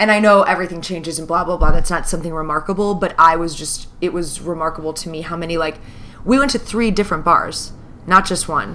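Against noticeable background noise, a woman with an American accent talks at a very fast pace in a fairly low voice, her loudness swinging widely. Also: ordinary pitch variation. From US Midwest. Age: 30s. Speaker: podcast co-host. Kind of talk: casual chat.

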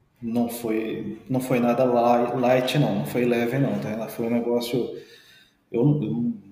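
In audible room echo, a man of medium pitch talks at a very slow pace. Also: fairly even intonation. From interior of São Paulo state, Brazil. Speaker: forensic medical examiner and orthopedist. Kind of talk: podcast interview.

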